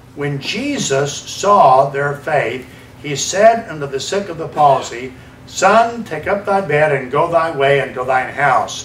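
A man with an American accent at a fairly high pitch, lively intonation and a very slow pace, plus audible room echo and light background noise. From US South. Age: 70s. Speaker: evangelist preacher. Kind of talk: sermon. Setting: church. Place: church.

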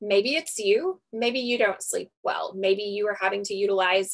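A woman with an unremarkable speaking voice, at a fairly slow pace with ordinary pitch variation, against a quiet background. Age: 30s. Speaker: registered nurse and network marketer. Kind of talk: sales pitch. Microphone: video call.

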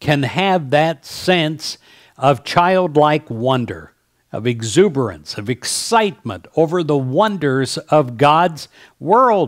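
Pitched fairly high, a man speaks at a very slow pace. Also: quiet background. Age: 60s. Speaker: pastor; speaker. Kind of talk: devotional message. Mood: warm, gentle, inspirational. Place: home room. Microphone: headset.

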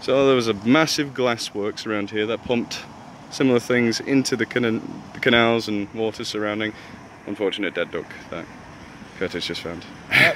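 Amid light background noise and a dry sound with no echo, a man talks at a moderate pace with ordinary pitch variation and long, frequent pauses. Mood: jokey, playful banter. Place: waterside. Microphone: phone near.

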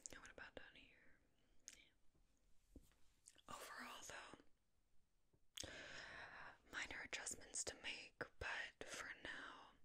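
Soft-spoken whispering in a gentle tone, very slow, with long, frequent pauses. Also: woman. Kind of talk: soft personal-attention role-play talk. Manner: gentle soft-spoken ASMR whisper. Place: home room.

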